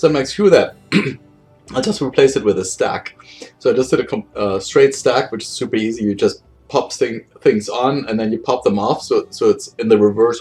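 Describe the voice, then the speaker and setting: Speaking at a fairly quick pace, a man talks with a German accent. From Germany. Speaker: game programmer. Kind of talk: casual monologue. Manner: casual, with many fillers.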